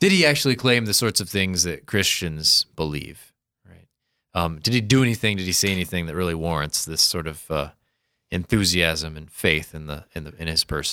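On a very clean recording with a silent background, a man speaks with an American accent. His very deep, low voice has a bright, sharp tone and ordinary pitch variation. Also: moderate pace, big swings in loudness. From US Midwest, Sioux Falls, South Dakota. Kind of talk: casual explanatory discussion.

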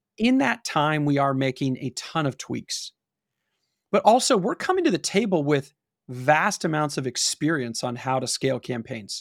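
The speaker has an American accent and lively intonation at a moderate pace. The sound is dry and close with no echo, on a very clean recording with a silent background. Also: man, fairly high pitch for a man. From Los Angeles, California (Pasadena). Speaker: e-commerce marketing agency founder. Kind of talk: interview.

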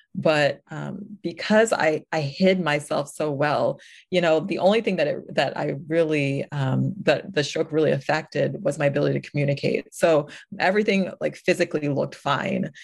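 With an American accent, a woman speaks at a moderate pace in a very deep, low pitch, with ordinary pitch variation and vocal fry. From US Northeast (New York). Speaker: stroke survivor and ministry speaker. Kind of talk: interview testimony.

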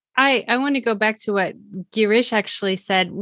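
Her voice is an ordinary speaking voice, medium in pitch with ordinary pitch variation, as a woman speaks at a moderate pace. The recording is very clean, with a silent background. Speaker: podcast co-host. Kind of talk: casual interview.

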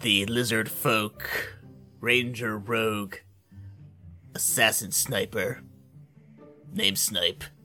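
In a put-on character voice with a low pitch, the speech comes at a very slow pace with long, frequent pauses over clear music in the background.

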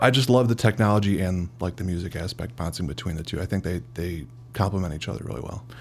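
A man with an American accent at a very fast pace, his pitch very deep and low, with vocal fry. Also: lively intonation. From US Midwest (Cicero, Illinois). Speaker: CEO of a digital marketing agency. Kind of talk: casual interview.

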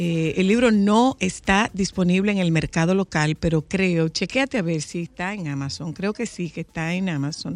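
At a moderate pace, a woman speaks at a fairly low pitch with ordinary pitch variation, the sound dry and close with no echo. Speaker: radio host. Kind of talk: casual chat. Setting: studio. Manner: animated.

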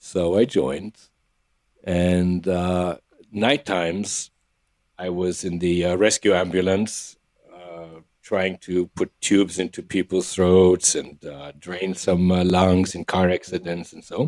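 A man with a very deep, low pitch talks at a very slow pace with big swings in loudness, the sound dry and close with no echo. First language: not English. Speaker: acupuncturist with emergency medicine background. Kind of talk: interview conversation. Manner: animated.

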